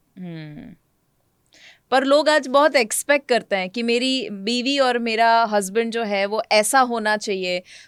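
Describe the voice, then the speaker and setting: A woman's fairly high pitch with ordinary pitch variation, an unremarkable speaking voice on a very clean recording against a silent background. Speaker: health coach and podcast host. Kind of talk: interview questions.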